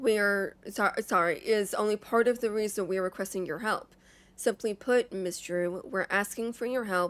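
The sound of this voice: The clip is in an unforced reading voice.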